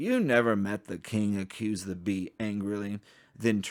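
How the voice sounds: A natural reading voice carries the text with fairly even intonation.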